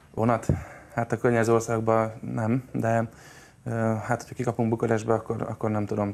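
Speaking at medium pitch, a man keeps a monotone, flat intonation. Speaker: football supporter group representative. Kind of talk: interview answers. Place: studio. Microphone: lapel.

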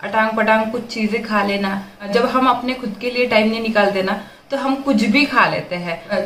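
Audible room echo and light background noise surround a woman's voice. She speaks at a moderate pace with fairly even intonation. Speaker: vlogger. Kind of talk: casual vlog chat. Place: kitchen. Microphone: phone near.

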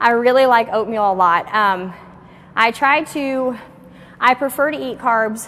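Light background noise under a woman's voice. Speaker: fitness trainer. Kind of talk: casual fitness tutorial and Q&A. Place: gym.

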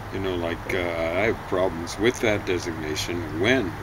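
A man talks at a moderate pace with ordinary pitch variation. Loud background noise runs behind him. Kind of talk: casual conversation. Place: garden. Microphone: camera far.

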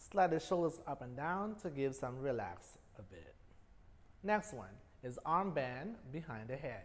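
The voice is somewhat breathy. It moves at a fairly slow pace. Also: man. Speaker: fitness instructor. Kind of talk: exercise class instruction. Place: gym.

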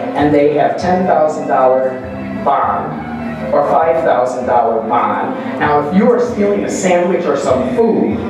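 A man talks at a fairly slow pace amid strong room echo, with clear music playing in the background. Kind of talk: speech introducing an honoree. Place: hall.

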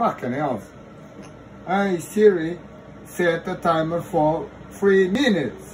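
Over light background noise, a man speaks very slowly in a high-pitched voice with lively intonation and a Portuguese accent. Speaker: husband setting up phone. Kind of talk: casual home video, frustrated talk. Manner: frustrated, swearing. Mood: frustrated, swearing. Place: home room. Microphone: phone near.

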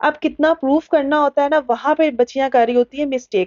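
A woman speaks at a high pitch and a moderate pace. Her pitch varies in an ordinary way against a quiet background. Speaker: cooking channel host. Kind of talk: tutorial. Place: kitchen.

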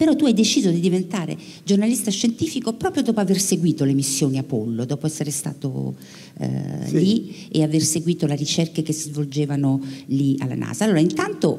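A woman talks at a fairly quick pace with lively intonation. Her tone is dark and mellow, and somewhat breathy. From Italy. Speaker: radio science journalist. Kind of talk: public interview on stage. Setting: theatre stage with audience. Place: stage. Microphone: handheld.

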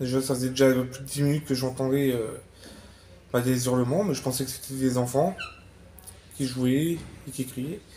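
Over light background noise, a man speaks at a moderate pace with fairly even intonation and long, frequent pauses. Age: 30s. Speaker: witness, rescuer of dog attack victim; witness. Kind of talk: testimony. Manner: halting. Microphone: lapel.

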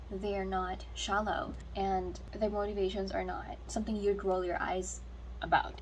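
At a fairly slow pace, a woman speaks with light background noise. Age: 20s. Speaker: book vlogger. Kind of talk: casual reading vlog. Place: home room. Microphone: phone near.

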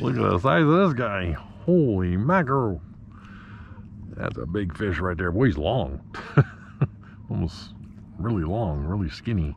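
With long, frequent pauses, a man talks at a moderate pace and very deep, low pitch, the sound dry with no echo and light background noise. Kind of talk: casual vlog chat. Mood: amused, excited. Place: boat. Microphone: phone near.

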